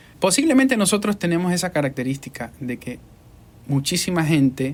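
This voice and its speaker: A man at a fairly slow pace with lively intonation. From Ecuador. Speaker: podcast host and voice-over artist. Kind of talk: interview. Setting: studio.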